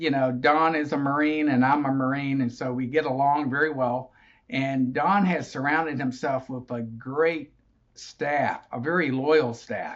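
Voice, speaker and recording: A man with a fairly high pitch talks at a fairly slow pace. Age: 60s. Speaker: association general manager, retired Marine officer. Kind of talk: interview. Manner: hesitant fillers.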